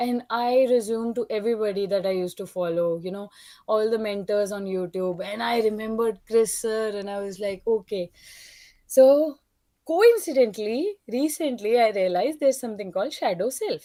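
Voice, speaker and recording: Dark, mellow female voice at a moderate pace, with ordinary pitch variation and big swings in loudness. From India. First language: not English. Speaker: caller. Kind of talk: testimony. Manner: halting.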